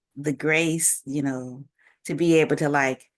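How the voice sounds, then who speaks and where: A woman talks very slowly in a very deep, low voice with fairly even intonation. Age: 60s. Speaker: interviewer. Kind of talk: casual chat. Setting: video call.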